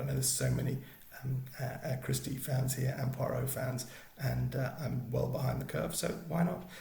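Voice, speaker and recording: A man with a British accent talks at a moderate pace. His pitch is medium, with ordinary variation. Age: middle-aged. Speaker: BookTuber. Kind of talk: casual talk to camera.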